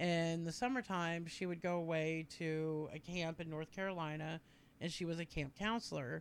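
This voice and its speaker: A woman's fairly low-pitched, normal speaking voice, fairly even in intonation and moderate in pace, on a very clean recording with a silent background. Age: 40s. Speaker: podcast guest, family friend. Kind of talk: casual chat.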